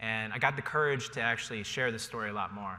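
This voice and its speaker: A man speaks at a medium pitch with a General American accent. The room echo is audible. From Ohio, US Midwest. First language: Cantonese. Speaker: panelist, tech company employee. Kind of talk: panel discussion. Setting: stage with audience.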